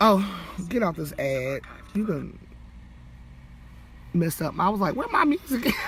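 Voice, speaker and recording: Speech moves at a fairly slow pace with long, frequent pauses. Noticeable background noise runs underneath. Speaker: vlogger. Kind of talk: livestream monologue.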